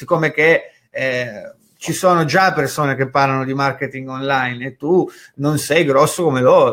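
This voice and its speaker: A man's fairly high voice at a fairly slow pace, ordinary pitch variation, on a very clean recording with a silent background. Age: 30s. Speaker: online marketing educator. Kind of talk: live stream talk. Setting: live stream from home office. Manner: casual.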